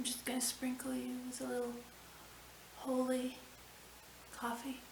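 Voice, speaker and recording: The speech is mumbling and at a fairly slow pace. Noticeable background noise is present. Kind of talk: personal reflective monologue. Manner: slow, mumbling.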